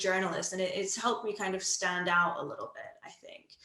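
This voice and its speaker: A woman's voice with audible room echo. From outside the UK. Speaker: radio producer. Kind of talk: casual interview.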